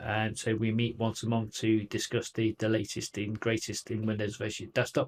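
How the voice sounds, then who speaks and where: A man with a Manchester accent speaks at a fairly quick pace. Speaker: tech company field CTO presenter. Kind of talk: technical presentation.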